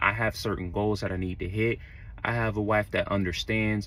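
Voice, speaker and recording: With an American accent, a man talks at a moderate pace in a plain, everyday voice, his pitch fairly low and his intonation fairly even. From Florida, Orlando. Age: 30s. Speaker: truck driver. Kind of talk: casual vlog talk. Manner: casual, conversational.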